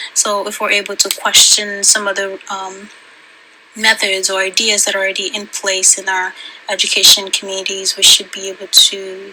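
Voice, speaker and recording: A soft-spoken woman at a moderate pace and medium pitch, flat and monotone in intonation, with big swings in loudness and noticeable background noise. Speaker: student. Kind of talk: class assignment vlog. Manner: halting.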